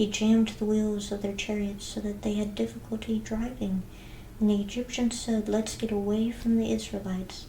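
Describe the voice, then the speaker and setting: A soft-spoken woman talks in a calm tone at a moderate pace and a medium pitch. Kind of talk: soft-spoken scripture reading; ASMR reading. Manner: soft-spoken, calm.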